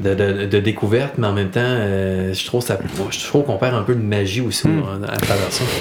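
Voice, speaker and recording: Noticeable background noise sits under speech at a fairly quick pace with hardly any pauses and ordinary pitch variation. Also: man, fairly low pitch for a man. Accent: Quebec. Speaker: podcast host. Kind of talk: casual interview.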